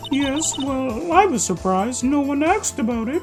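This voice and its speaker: A woman's high-pitched, put-on character voice at a moderate pace, with clear music in the background. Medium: fan dub. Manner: blunt, folksy, gabby.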